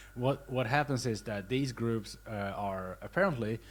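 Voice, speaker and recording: A man talks at a fairly slow pace in a normal speaking voice. His pitch varies in an ordinary way. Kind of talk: casual film essay narration.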